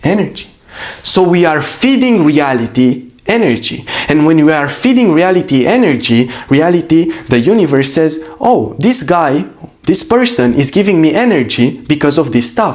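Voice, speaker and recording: A man's fairly high voice with a Romanian accent, very wide pitch swings and very even loudness, over noticeable background noise. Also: moderate pace. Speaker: business coach. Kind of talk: motivational talk. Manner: animated.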